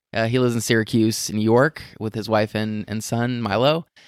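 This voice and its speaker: With an American accent, a man speaks in a medium pitch with fairly even intonation. It is an ordinary speaking voice. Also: dry, close sound with no echo, very clean recording, silent background. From US West, Las Vegas. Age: 30s. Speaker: blogger and entrepreneur. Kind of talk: casual interview chat. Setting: at home in his apartment.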